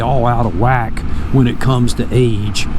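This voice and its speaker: A man sounds animated, with lively intonation, amid audible room echo and noticeable background noise. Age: 50s. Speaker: motorcycle vlogger and lay preacher. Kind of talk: casual devotional talk.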